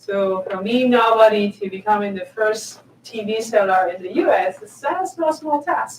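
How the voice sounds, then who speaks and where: At a moderate pace, a woman speaks in a fairly high voice with lively intonation over noticeable background noise. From southern Spain. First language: Spanish. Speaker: tech executive. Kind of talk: conference talk.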